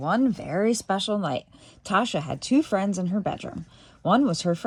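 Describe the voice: The speaker reads aloud in a plain way.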